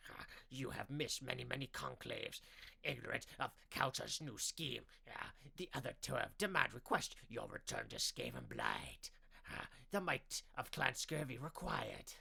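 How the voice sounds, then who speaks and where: A man adopts a put-on character voice, keeping a moderate pace. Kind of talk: audiobook narration. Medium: read story. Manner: halting, twitchy.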